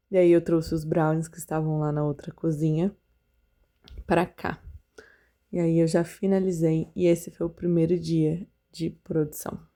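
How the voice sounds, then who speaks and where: Her tone dark and mellow, a woman speaks at a fairly slow pace with monotone, flat intonation. She leaves long, frequent pauses. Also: fairly low pitch for a woman. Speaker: confectioner vlogger. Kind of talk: vlog voiceover narration. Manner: casual, conversational.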